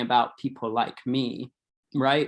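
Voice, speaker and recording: A man's medium-pitched voice at a fairly slow pace, on a very clean recording with a silent background. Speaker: recovery advocate and helping professional. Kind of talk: panel discussion. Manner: casual, halting with fillers.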